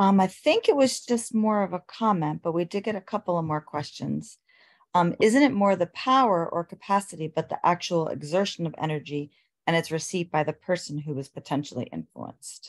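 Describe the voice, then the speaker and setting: An ordinary speaking voice from a woman, fairly low in pitch, with lively intonation and a fairly quick pace against a quiet background. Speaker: webinar co-moderator. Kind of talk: reading chat comments aloud. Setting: video call. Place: home room. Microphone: video call.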